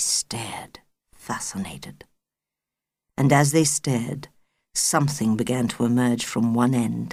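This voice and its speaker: With vocal fry and a very deep, low pitch, a woman talks at a fairly slow pace, her fairly even intonation broken by long, frequent pauses. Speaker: audiobook narrator. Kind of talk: audiobook narration of a children's novel. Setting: studio.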